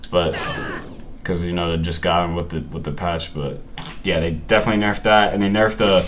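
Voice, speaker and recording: A man in a relaxed tone at a fairly quick pace, with noticeable background noise and audible room echo. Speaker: gaming content creator. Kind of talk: gameplay commentary. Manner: halting, repeats words and self-corrects; casual, relaxed slang.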